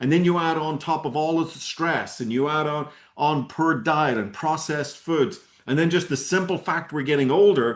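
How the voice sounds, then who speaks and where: With an American accent, a man speaks at a moderate pace in a fairly high pitch. His pitch variation is ordinary, and the background is quiet. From Ireland. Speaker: network marketing presenter. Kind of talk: sales pitch. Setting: video call. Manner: animated.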